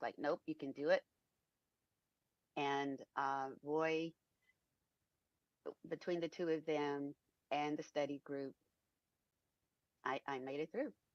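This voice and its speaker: Quiet and slow, a woman with a very deep, low pitch speaks in a monotone, flat way with long, frequent pauses and a dry, close sound with no echo. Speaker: former student, certified project manager. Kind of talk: testimony. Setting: live stream.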